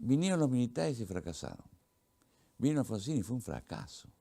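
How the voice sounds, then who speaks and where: A man speaks at a moderate pace with an Argentine accent. His dark, mellow voice swings very widely in pitch. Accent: Argentine Spanish (Rioplatense). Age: 70s. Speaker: veteran journalist and author. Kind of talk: interview. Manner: halting, repetitive.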